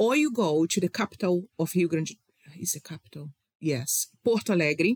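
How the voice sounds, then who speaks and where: The speaker has a Brazilian accent. The pace is moderate. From Rio de Janeiro, Brazil. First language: Portuguese. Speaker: wine communicator. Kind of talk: casual interview chat. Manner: enthusiastic, passionate.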